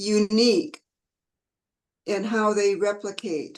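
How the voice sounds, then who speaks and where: At a very slow pace, a woman speaks with a fairly high pitch. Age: 70s. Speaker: energy healing teacher. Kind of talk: interview.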